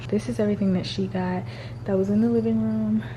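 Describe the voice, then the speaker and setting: Over noticeable background noise, a woman's whispering moves at a fairly quick pace. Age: 20s. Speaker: lifestyle vlogger. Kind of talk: casual vlog talk. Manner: casual.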